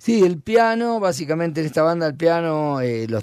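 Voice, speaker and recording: A man speaks with an Argentine accent and very wide pitch swings. The recording is very clean, with a silent background. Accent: Rioplatense Argentine Spanish. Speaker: rock musician. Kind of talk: casual interview. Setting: radio studio. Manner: halting.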